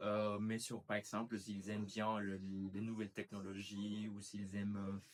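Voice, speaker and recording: Speaking fairly slowly, a man uses a fairly low pitch and monotone, flat intonation. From Colombia, Cali. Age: 20s. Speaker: master's student, language teacher. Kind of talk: interview. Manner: hesitant, many fillers.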